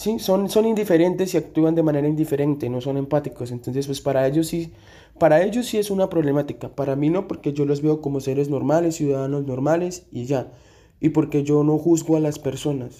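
Fairly high in pitch, a man's dark, mellow voice moves at a fairly quick pace with ordinary pitch variation. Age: 20s. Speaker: social work student. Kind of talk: read-aloud survey answers. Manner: hesitant with fillers.

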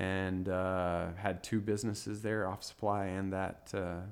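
In a West Texas accent, the speaker talks at a fairly slow pace with monotone, flat intonation. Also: man. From West Texas, small town near Lubbock. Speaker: realtor and business owner. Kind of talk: interview.

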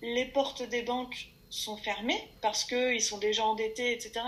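Here a woman is speaking. Her pace is very slow. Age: 30s. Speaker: crowdfunding platform employee. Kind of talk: interview. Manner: energetic.

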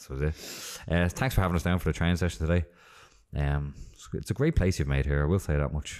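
Someone with an Irish accent speaks at a very fast pace with ordinary pitch variation on a very clean recording with a silent background. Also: man, very deep, low pitch for a man. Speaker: podcast host. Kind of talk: casual interview. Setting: in person at a gym.

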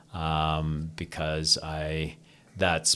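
This man has a Canadian accent. His voice is pitched very deep and low. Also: very clean recording, silent background. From Canada, Toronto. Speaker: stretch therapist, technique founder. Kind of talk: interview.

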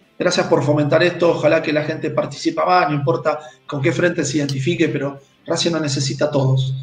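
Very fast, monotone, flat speech with music in the background and audible room echo. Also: man. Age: 40s. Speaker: football club presidential candidate. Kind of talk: interview.

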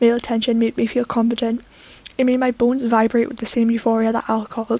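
A natural reading voice carries through this recording.

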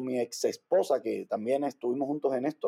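In a Cuban accent, a man with a dark, mellow tone speaks at a moderate pace. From Cuba, Havana. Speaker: dancer and entrepreneur. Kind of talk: interview.

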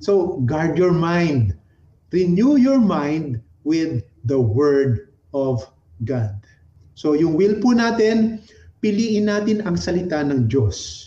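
A man's dark, mellow voice at a fairly high pitch, with very wide pitch swings, very even loudness, a very slow pace and long, frequent pauses. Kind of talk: sermon. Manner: animated, exhortative, call-and-response; warm, conversational, Taglish.

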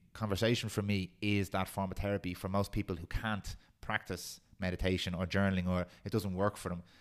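On a very clean recording with a silent background, a man with a Dublin accent talks fairly quickly in a very deep, low pitch and a monotone, flat intonation. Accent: Dublin Irish. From Ireland, Swords (north Dublin). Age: 30s. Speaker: podcast producer. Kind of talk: casual chat.

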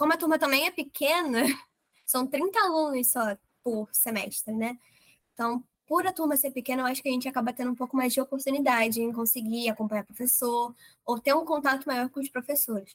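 This woman's voice sits high in pitch. The recording is dry and close, free of any echo. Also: ordinary pitch variation, fairly quick pace. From Rio de Janeiro, Brazil. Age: young. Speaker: medical school entrant. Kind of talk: interview.

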